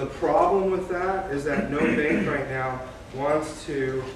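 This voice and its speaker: Background noise is noticeable. The man speaks very slowly. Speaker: mortgage loan officer. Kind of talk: informal presentation to a live audience. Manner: hesitant, many fillers.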